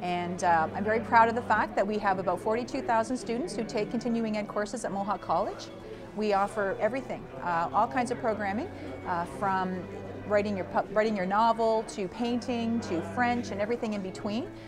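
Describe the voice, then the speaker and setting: A woman at fairly high pitch with ordinary pitch variation, talking at a fairly quick pace over music in the background. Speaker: college associate dean. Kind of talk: interview answer.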